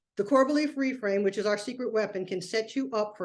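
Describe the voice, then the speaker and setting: A woman's ordinary speaking voice, fairly high with ordinary pitch variation, over a quiet background. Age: 60s. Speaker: productivity coach. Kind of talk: webinar presentation. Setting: live online webinar. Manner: conversational.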